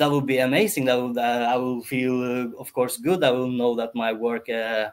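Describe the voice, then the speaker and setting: Speaking with a Norwegian accent, a man keeps a medium pitch, fairly even intonation and a moderate pace. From Norway. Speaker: entrepreneur. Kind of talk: podcast interview. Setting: live-streamed podcast. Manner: halting, many fillers and restarts.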